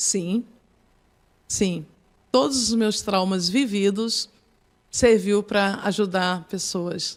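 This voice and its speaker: A woman at a medium pitch with ordinary pitch variation, speaking very slowly with long, frequent pauses. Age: 60s. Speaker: psychoanalyst and pastor. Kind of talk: podcast interview. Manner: halting.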